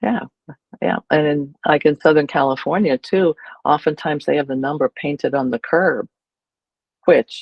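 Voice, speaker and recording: With a very deep, low pitch, a woman speaks at a moderate pace with ordinary pitch variation and long, frequent pauses. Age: 70s. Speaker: educator on aging at home. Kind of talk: interview. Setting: video call.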